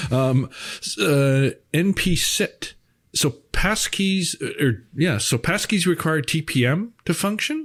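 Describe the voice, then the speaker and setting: Very slow speech in a Canadian Prairies accent comes through a very clean recording with a silent background. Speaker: co-host reading viewer questions. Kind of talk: casual chat, livestream Q&A. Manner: halting, many fillers.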